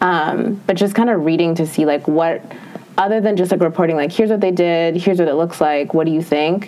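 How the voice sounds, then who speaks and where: Very fast pace from a woman with ordinary pitch variation, plus noticeable background noise. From Minnesota. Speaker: beauty editor. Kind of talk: interview podcast.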